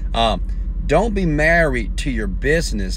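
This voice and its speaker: The sound is dry, with no echo. A man speaks over light background noise. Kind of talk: motivational live stream talk. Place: car. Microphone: earbuds.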